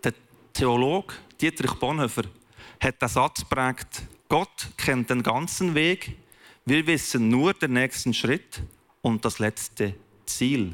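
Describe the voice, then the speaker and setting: A man speaks very slowly at medium pitch, with lively intonation, very even loudness and long, frequent pauses. The recording is very clean with a silent background and a dry, close sound with no echo. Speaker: pastor. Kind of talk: sermon.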